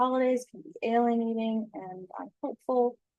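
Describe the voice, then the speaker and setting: An unremarkable speaking voice from a woman, fairly high in pitch, at a moderate pace, with a dry, close sound and no echo. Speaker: trauma-informed design educator. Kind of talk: presentation with slides. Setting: video presentation with slides.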